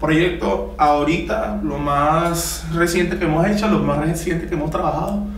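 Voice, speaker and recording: A man is speaking in a room with audible echo. Light background noise is present. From Venezuela, Caracas. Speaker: trombonist. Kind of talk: casual interview. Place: studio.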